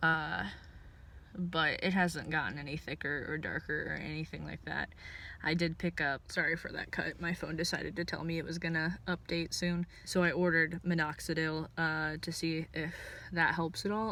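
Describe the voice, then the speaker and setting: A woman's fairly low, bright and sharp voice with vocal fry, fairly even intonation and a moderate pace, in a very clean recording with a silent background. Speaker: video blogger. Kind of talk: casual vlog update. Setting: in a parked car. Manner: hesitant, many fillers.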